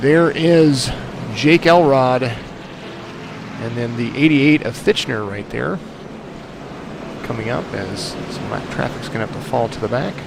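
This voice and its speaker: Amid noticeable background noise and audible room echo, a man with a medium pitch speaks at a fairly slow pace, his loudness swinging widely while his pitch varies in an ordinary way. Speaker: sim racing commentator. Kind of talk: live commentary.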